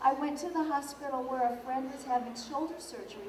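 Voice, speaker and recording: Speaking at a fairly quick pace, a woman with a high pitch shows ordinary pitch variation, heard through audible room echo and noticeable background noise. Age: 60s. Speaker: vegan author and speaker. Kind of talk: conference talk.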